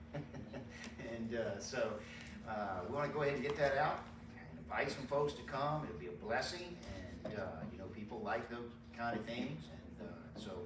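Noticeable background noise sits behind a man whose loudness swings widely, with long, frequent pauses. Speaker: pastor. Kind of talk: church announcements. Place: church. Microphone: camera far.

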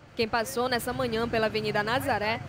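A woman with a fairly high pitch speaks at a moderate pace over noticeable background noise. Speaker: TV presenter and interviewer. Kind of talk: interview.

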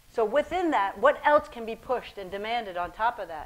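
A woman's fairly high voice at a moderate pace. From Ethiopia-born, raised in Michigan, US; Ethiopia. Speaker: painter; guest. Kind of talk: onstage conversation. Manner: halting. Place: hall.

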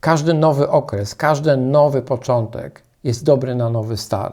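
Over a silent background in a very clean recording, a man speaks at a very slow pace in a medium pitch, with ordinary pitch variation and a dark, mellow tone. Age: 60s. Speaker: life coach. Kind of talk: motivational talk.

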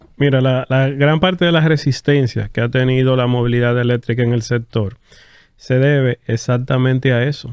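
An unremarkable speaking voice belongs to this man, who talks at medium pitch and a moderate pace with fairly even intonation and very even loudness. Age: 30s. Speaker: electric vehicle dealer representative. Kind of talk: casual interview chat. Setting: studio.

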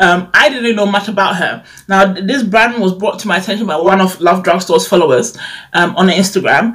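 A woman at a fairly quick pace, medium in pitch, with ordinary pitch variation and a fairly bright tone.

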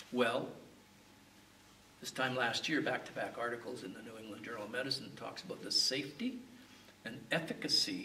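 A man with a Canadian accent speaks fairly quickly, with long, frequent pauses and big swings in loudness. Light background noise and audible room echo are present. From Canada. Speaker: medical geneticist. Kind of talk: interview answer.

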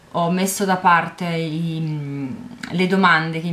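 Against light background noise, a woman speaks in a plain, everyday voice that is fairly low in pitch, with ordinary pitch variation. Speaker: vlogger. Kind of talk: casual vlog chat. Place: home room. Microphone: webcam.

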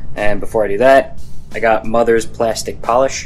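A man's voice with faint music in the background. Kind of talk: tutorial. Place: garage. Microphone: phone near.

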